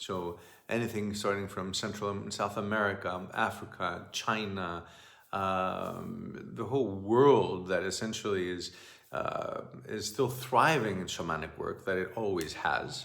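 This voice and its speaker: With a Greek accent, a man speaks with ordinary pitch variation amid audible room echo. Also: fairly low pitch for a man, fairly slow pace. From Greece. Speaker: shamanic teacher. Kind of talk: monologue talk. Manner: halting.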